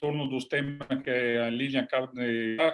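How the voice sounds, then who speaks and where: A man with an Italian accent talks at a moderate pace and a medium pitch. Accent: Italian accent in Portuguese, self-taught. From southern Italy. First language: Italian (speaking Portuguese). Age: 60s. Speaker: agronomist, international development expert. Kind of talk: webinar lecture. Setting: online webinar. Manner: halting, many hesitations.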